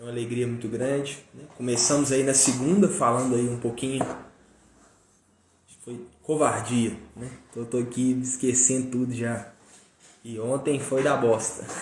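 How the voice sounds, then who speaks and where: The speech comes with long, frequent pauses, big swings in loudness and fairly even intonation. Room echo is audible and background noise is noticeable. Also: man, medium pitch for a man, moderate pace. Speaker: live stream speaker on personal growth. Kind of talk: live stream talk. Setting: live stream. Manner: casual, filler-heavy.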